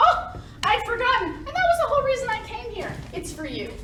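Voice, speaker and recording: A woman's put-on character voice, squeaky and extremely high-pitched, at a fairly quick pace, with slight echo and clear background noise. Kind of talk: 1940s radio acting. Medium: stage play. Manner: smooth, condescending, says "dear".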